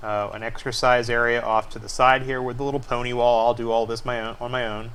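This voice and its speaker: Amid noticeable background noise and audible room echo, a man at a medium pitch talks very fast in a monotone, flat way. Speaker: homeowner showing house plans. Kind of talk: screencast tutorial walkthrough. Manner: hesitant fillers.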